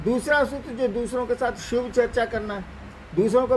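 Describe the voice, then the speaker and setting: Speaking high in pitch, a man lets it move up and down in an ordinary way. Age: 70s. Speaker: spiritual teacher. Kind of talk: religious discourse answering questions.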